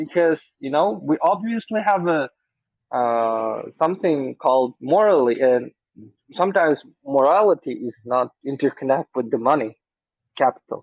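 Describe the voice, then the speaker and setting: A man with a non-native accent speaks at a moderate pace. His fairly high voice has lively intonation. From former Soviet country. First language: not English. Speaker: debate moderator. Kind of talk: debate. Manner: halting.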